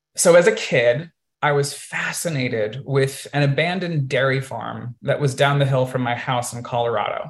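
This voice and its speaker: In an ordinary speaking voice, a man at medium pitch talks at a moderate pace with ordinary pitch variation. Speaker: podcast host and multidisciplinary artist. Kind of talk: illustrated presentation to a virtual audience, personal storytelling. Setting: video call. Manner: conversational with frequent um and uh fillers.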